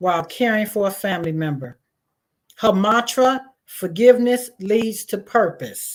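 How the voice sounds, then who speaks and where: A woman with a fairly high pitch speaks at a fairly slow pace, using ordinary pitch variation. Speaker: summit host. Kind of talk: event hosting, guest introduction. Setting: virtual live stream.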